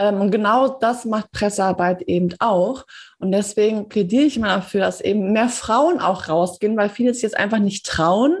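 Using an ordinary speaking voice, a woman talks at a moderate pace and a medium pitch with ordinary pitch variation. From Germany, Paderborn. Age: 30s. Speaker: PR consultant and editor. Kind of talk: interview.

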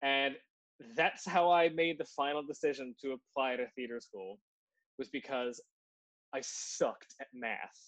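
A man with a Newfoundland accent at a fairly high pitch and fairly slow pace, with ordinary pitch variation, big swings in loudness and long, frequent pauses. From Newfoundland, Canada. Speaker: podcast co-host and actor. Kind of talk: casual chat.

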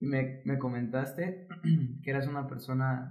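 The voice is somewhat breathy and moves at a fairly slow pace, with audible room echo. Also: man. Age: 20s. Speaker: fitness coach and physiotherapist. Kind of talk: casual interview chat.

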